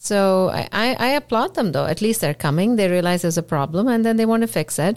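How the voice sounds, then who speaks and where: Quick and lively, a woman speaks at a fairly quick pace and medium pitch with very even loudness. It is an ordinary speaking voice, on a very clean recording with a silent background. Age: 40s. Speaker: podcast host and physician. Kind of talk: interview podcast.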